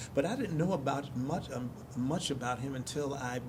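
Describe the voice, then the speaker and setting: With an American accent, a man talks at a moderate pace with ordinary pitch variation, over noticeable background noise and audible room echo. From US Northeast, North Philadelphia. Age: 70s. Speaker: stage actor. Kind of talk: interview. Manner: halting, frequent restarts.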